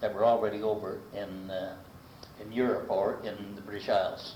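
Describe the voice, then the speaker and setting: A man's fairly low voice in a monotone, flat intonation, at a moderate pace, amid noticeable background noise. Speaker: local resident recounting life history. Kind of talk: oral history interview answer. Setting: archival recording of a 1985 interview.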